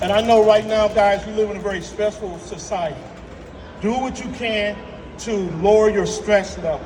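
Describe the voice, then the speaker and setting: Amid audible room echo and music in the background, a man with a high pitch speaks in an animated tone at a moderate pace. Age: 60s. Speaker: health speaker. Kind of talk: motivational talk.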